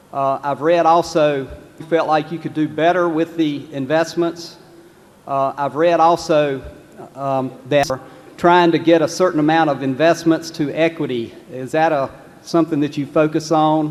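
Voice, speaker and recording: A man with a North Carolina accent speaks at a moderate pace in a fairly high, monotone, flat voice, with noticeable background noise behind him. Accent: Southern US (North Carolina). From North Carolina, Lexington. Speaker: shareholder asking a question. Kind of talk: audience question. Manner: halting, repeats words.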